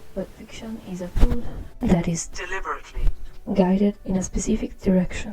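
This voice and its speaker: A woman speaks at a moderate pace with a strong non-native accent and fairly even intonation, with noticeable background noise behind her. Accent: very strong non-native. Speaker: art channel creator. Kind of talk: commentary over speedpaint.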